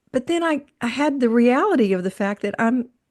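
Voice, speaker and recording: An unremarkable speaking voice with lively intonation is heard over a quiet background. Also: woman. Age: 60s. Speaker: podcast co-host and self-employed musician. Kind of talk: casual interview chat. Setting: podcast recording.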